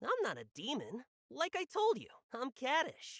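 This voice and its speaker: The speaker uses a put-on character voice at a high pitch. The pace is moderate. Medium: video game. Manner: sly, playful.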